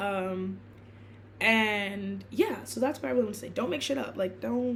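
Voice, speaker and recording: A woman is speaking with audible room echo. Noticeable background noise runs under her voice. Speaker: blogger and student. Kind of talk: casual vlog monologue. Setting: filming in her room. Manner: fast; halting, many fillers and restarts.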